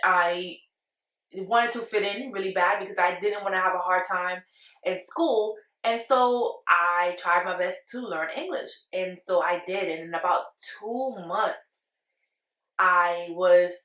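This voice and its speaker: A woman with a Spanish accent speaks at a medium pitch and a fairly slow pace. Her tone is bright and sharp, broken by long, frequent pauses. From Panama, moved to Brooklyn at ten. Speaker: vlogger. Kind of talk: casual storytime monologue.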